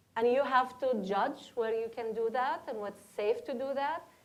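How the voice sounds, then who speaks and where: A woman with a Palestinian accent speaks at a high pitch over noticeable background noise. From Palestine. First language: Arabic. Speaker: educator, panelist. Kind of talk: panel discussion.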